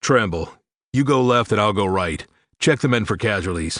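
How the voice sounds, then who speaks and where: Against a quiet background, a man does a put-on character voice at a fairly low pitch, with lively intonation and a moderate pace. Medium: read story. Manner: clipped, commanding.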